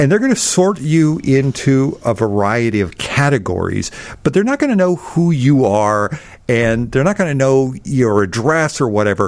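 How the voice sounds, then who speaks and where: At a moderate pace, a man speaks at a medium pitch with very wide pitch swings. His loudness stays very even. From Alabama. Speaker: technology expert. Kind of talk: tutorial. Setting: studio.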